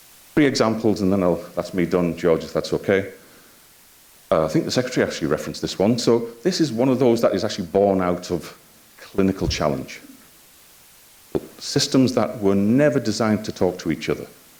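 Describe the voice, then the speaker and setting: With a Yorkshire accent, a man talks at a fairly quick pace, his fairly low pitch and lively intonation broken by long, frequent pauses. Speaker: health IT executive and physician. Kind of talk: conference talk. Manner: hesitant, with frequent filler words.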